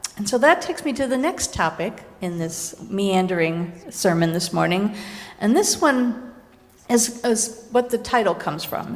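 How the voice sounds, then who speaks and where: Audible room echo surrounds a woman with a fairly high pitch. She speaks at a fairly slow pace, with lively intonation. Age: 60s. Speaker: minister. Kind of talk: sermon. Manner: conversational, with self-corrections.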